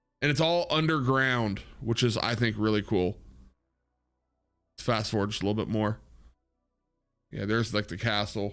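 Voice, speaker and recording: Music plays behind a man with a fairly low voice. He speaks at a moderate pace with ordinary pitch variation and long, frequent pauses. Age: 30s. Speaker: gaming streamer. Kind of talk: casual chat. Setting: live stream. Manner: animated.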